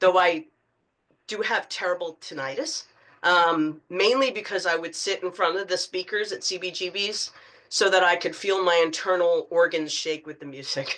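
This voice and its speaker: Here a woman with an American accent has an unremarkable speaking voice, pitched fairly low. She talks at a moderate pace with ordinary pitch variation. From New York City and northern New Jersey. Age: 60s. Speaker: author. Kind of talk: public talk. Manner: casual with frequent fillers.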